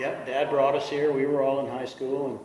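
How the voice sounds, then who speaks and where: Noticeable background noise and audible room echo surround a man whose voice is fairly high for a man. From South Dakota. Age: 60s. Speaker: truck collector selling his collection. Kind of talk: interview.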